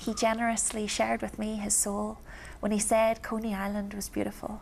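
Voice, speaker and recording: A woman with a Belfast accent, at a fairly quick pace. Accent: Belfast, Northern Irish. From East Belfast, Northern Ireland. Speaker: performance poet. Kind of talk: spoken word poetry performance.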